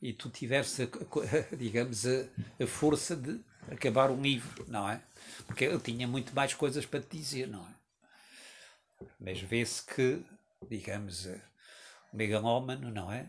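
At a very slow pace with long, frequent pauses, a man with a medium pitch and ordinary pitch variation sounds somewhat breathy, his loudness swinging widely. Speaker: writer. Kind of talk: reading aloud.

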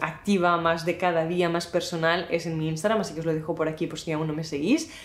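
The woman's pitch sits fairly low. She talks at a fairly quick pace. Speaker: YouTuber and content creator. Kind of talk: casual talking-head vlog. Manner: fast.

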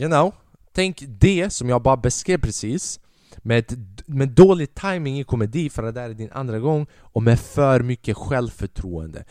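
An animated, dramatic tone comes through at a moderate pace in a very clean recording with a silent background. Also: man. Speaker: podcast host and stand-up comedian. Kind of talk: stand-up comedy storytelling, recounting his first gig to an audience. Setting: podcast recording. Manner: casual and chatty, rambling with repeated words and dramatic pauses.

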